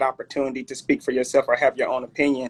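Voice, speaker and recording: In a Southern US accent, a man talks at a fairly high pitch, with a dry, close sound and no echo. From Alabama, Mobile. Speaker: clothing brand owner. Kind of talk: interview.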